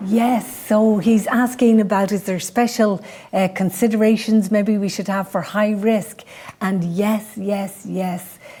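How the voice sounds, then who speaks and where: In a Dublin accent, a woman talks at a fairly slow pace in a flat monotone at medium pitch, with noticeable background noise around her. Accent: Dublin Irish. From Ireland, Dublin. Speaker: midwife and podcast host. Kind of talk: presentation with Q&A.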